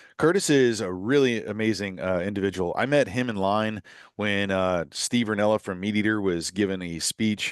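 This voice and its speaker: Here is a man with an unremarkable speaking voice, fairly low in pitch, with ordinary pitch variation. He goes at a moderate pace against a quiet background. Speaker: podcast host. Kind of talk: podcast monologue.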